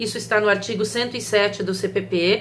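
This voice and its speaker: A woman speaks at a moderate pace, with audible room echo and noticeable background noise. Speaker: law professor. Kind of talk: recorded video lecture.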